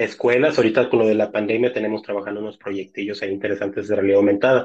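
An ordinary speaking voice from a man at medium pitch, with ordinary pitch variation and a quiet background. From Mexico, Tampico, Tamaulipas. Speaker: technology researcher. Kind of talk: casual interview.

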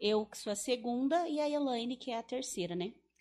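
Recorded very cleanly against a silent background, a woman talks at a moderate pace in a high voice. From southern Brazil, Paraná interior (Teixeira Soares). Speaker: funeral home owner. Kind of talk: casual interview chat.

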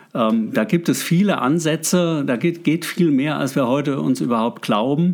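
Lively intonation and very even loudness carry the speech at a moderate pace with hardly any pauses. The recording is very clean, with a silent background. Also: man, fairly high pitch for a man. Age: 60s. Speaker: local politician. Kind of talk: interview. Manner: halting, many fillers.

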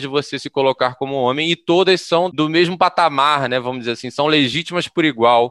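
A man's bright, sharp tone at a fairly high pitch, with ordinary pitch variation, against a quiet background. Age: middle-aged. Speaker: podcast host. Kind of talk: podcast conversation.

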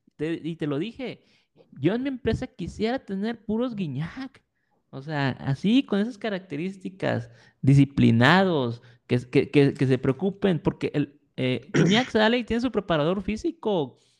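Against a quiet background, a man speaks in a high voice with very wide pitch swings and a dry, close sound with no echo. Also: fairly slow pace. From Mexico. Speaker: podcast co-host. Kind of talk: casual chat.

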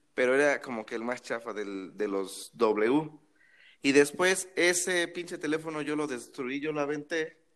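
With a normal speaking voice, a man talks at a fairly slow pace with fairly high pitch and lively intonation on a very clean recording with a silent background. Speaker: podcast co-host. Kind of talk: casual chat.

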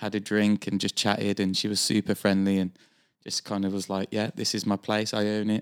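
In a Birmingham accent, a man speaks at a fairly quick pace and a fairly low pitch with monotone, flat intonation, in a very clean recording with a silent background. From Birmingham, England. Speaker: guest. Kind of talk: casual chat. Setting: studio.

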